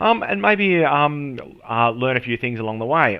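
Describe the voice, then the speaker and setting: Here a man speaks with an Australian accent. His intonation is lively. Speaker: SEO and marketing professional. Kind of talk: tutorial. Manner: casual, with many fillers.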